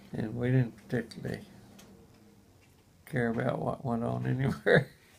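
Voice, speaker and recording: A moderate pace over noticeable background noise. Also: man. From Abilene, Texas. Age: 80s+. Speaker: Air Force veteran. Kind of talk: interview answer.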